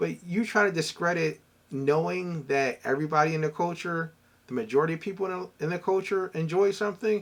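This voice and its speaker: Fairly quick and high-pitched, a man talks in a Philadelphia accent with ordinary pitch variation. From US Northeast, Philadelphia. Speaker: entrepreneur and former corporate professional. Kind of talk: casual vlog talk.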